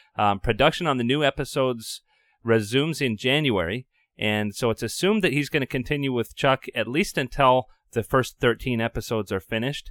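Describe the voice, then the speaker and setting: Recorded very cleanly with a silent background and a dry, close sound with no echo, a man speaks in a plain, everyday voice at a medium pitch, with ordinary pitch variation and a fairly quick pace. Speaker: podcast host. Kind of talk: casual chat.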